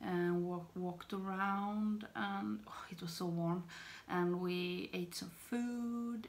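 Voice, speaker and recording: A woman's very slow speech in a Swedish accent. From Sweden. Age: 30s. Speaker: beauty vlogger. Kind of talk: casual talk to camera. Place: home room. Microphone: phone near.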